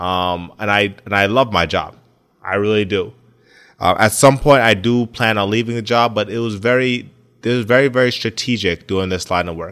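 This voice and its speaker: A man with an ordinary speaking voice talks at a moderate pace, fairly low in pitch with ordinary pitch variation. The recording is very clean and the background silent. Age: 20s. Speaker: podcast host and athletic trainer. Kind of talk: casual monologue.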